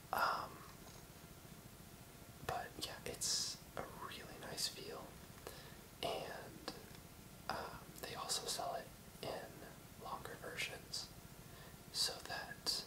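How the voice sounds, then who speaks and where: Whispering in a relaxed tone, a man speaks at a very slow pace with long, frequent pauses, over noticeable background noise. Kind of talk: ASMR video with casual rambling talk to camera. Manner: soft-spoken, relaxed, rambling.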